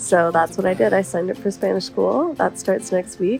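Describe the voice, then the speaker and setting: A woman with a Canadian accent at a fairly quick pace, with music in the background. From Canada. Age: 20s. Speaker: travel vlogger. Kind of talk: travel vlog voiceover.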